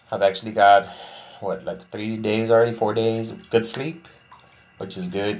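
A man with an American accent keeps a moderate pace while music plays behind him. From Texas, Laredo. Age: 40s. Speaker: podcast host. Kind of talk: casual monologue, venting.

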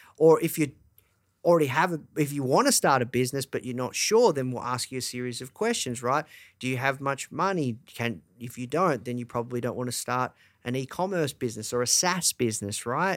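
Medium-pitched male speech with an Australian accent at a fairly quick pace, on a very clean recording with a silent background. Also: ordinary pitch variation. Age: 30s. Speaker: entrepreneur, media company founder. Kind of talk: interview.

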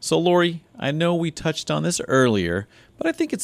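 A man's fairly quick speech with very wide pitch swings. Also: dry, close sound with no echo, very clean recording, silent background. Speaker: radio co-host and announcer. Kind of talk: radio show intro and conversational interview. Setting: radio studio, live broadcast. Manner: upbeat, cheerful.

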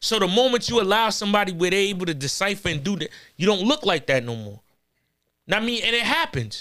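A man with a New York accent speaks at a very fast pace in a raised, projected voice with a high pitch and a bright, sharp tone. His pitch swings very widely, and the recording is very clean with a silent background. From Corona, Queens, New York. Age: 30s. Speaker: battle rapper. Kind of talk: casual chat.

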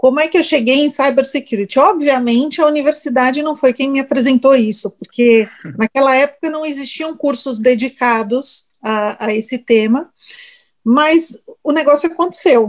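The speaker is a woman with a high pitch. She keeps a moderate pace and ordinary pitch variation. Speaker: information security specialist and lecturer. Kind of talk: interview.

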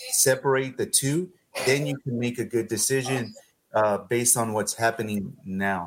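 At a moderate pace and medium pitch, a man uses a normal speaking voice with ordinary pitch variation. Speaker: podcast co-host. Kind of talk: casual interview.

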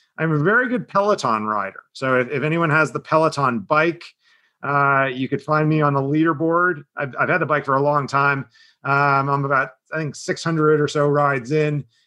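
A man with an American accent speaks at a moderate pace in a fairly high pitch, his tone bright and sharp. The background is quiet. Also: ordinary pitch variation. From Southern New Jersey. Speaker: marketing executive. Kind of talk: interview.

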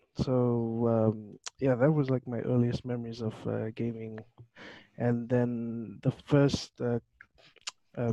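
A man's medium-pitched voice with a dark, mellow tone, monotone, flat intonation, a fairly slow pace, long, frequent pauses and a dry, close sound with no echo. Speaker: gamer. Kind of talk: casual chat.

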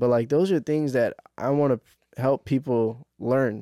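A man's normal speaking voice at medium pitch, with ordinary pitch variation, in a very clean recording with a silent background. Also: dry, close sound with no echo. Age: 20s. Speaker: door-to-door sales leader and entrepreneur. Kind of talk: casual chat.

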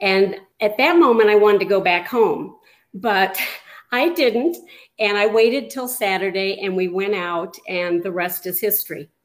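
In an American accent, a normal speaking voice moves at a moderate pace with ordinary pitch variation and big swings in loudness, recorded very cleanly against a silent background. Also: woman, medium pitch for a woman. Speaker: married guest. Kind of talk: interview.

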